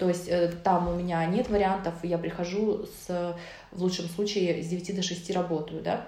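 Against noticeable background noise and audible room echo, a woman talks at a moderate pace in a fairly low voice with monotone, flat intonation. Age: 30s. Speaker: nutritionist. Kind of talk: casual chat.

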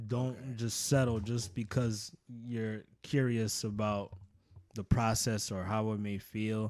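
This man, with an American accent, has a fairly low pitch, fairly even intonation and an ordinary speaking voice. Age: 40s. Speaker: tattoo artist. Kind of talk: casual interview.

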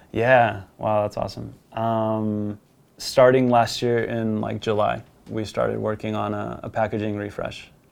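Against noticeable background noise, a man talks at a fairly slow pace in a fairly low pitch with monotone, flat intonation. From US, born in Colombia. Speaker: former pro footballer, marketing content creator. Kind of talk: casual interview.

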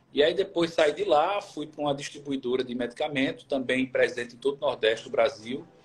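Somewhat breathy, this man talks with ordinary pitch variation. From Brazil, Pernambuco (Recife). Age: 40s. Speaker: HR manager. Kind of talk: interview on a live stream.

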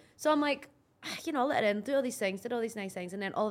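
Very fast, lively speech in a Scottish accent over noticeable background noise. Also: woman. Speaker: podcast co-host. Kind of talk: casual, conversational, with swearing.

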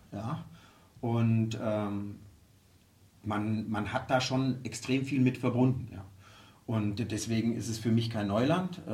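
Very slow and marked by long, frequent pauses, a man's somewhat breathy, medium-pitched voice keeps fairly even intonation amid audible room echo. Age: 50s. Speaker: football club executive. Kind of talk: interview. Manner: halting, many fillers.

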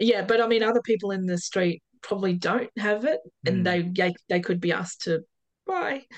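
A woman's medium-pitched voice with an Australian accent, at a moderate pace with ordinary pitch variation. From Perth, Western Australia. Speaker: off-grid homeowner. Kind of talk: casual interview. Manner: hesitant, many fillers.

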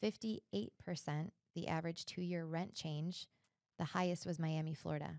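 A woman with a plain, everyday voice speaks at a moderate pace and a fairly low pitch. Her pitch variation is ordinary, and the sound is dry and close with no echo. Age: 30s. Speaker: realtor and podcast host. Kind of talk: casual interview chat.

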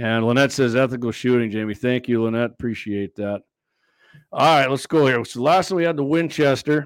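A man's medium-pitched, unremarkable speaking voice with an American accent, ordinary pitch variation and a fairly quick pace, in a very clean recording with a silent background. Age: 50s. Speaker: gun show host. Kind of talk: casual chat.

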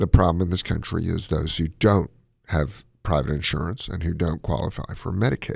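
In a very deep, low voice with vocal fry, a man speaks with ordinary pitch variation. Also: fairly quick pace. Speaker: cardiologist radio host. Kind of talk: call-in medical advice show. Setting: studio. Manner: mumbles.

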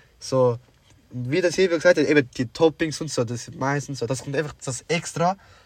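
A man's fairly high, somewhat breathy voice at a moderate pace, with ordinary pitch variation, on a very clean recording with a silent background. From Sri Lanka. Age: young. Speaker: podcast co-host. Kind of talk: casual chat.

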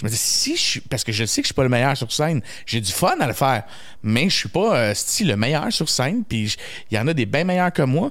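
A man talks at a fairly quick pace with a medium pitch. His pitch swings very widely. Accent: Quebec. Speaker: comedian. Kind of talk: casual chat.

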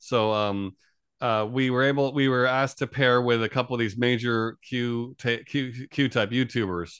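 A man at medium pitch keeps his loudness very even and his intonation fairly even, with a quiet background. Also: moderate pace. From New York area, US. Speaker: UFO contact organization founder. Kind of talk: casual interview conversation. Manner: halting, many fillers.

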